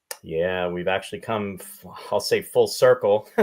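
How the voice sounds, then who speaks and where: In a Canadian accent, this is an ordinary speaking voice with ordinary pitch variation. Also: man. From Canada, Saskatchewan (Regina). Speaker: podcast host. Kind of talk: casual chat.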